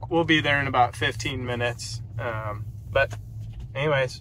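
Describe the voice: A man's bright, sharp tone at a fairly slow pace, with ordinary pitch variation.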